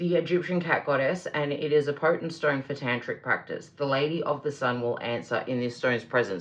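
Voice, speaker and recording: Her pitch is very deep and low as a woman speaks in an Australian accent. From Australia, Melbourne. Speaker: tarot reader. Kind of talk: tarot reading with read-aloud crystal descriptions. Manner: casual, hesitant with fillers.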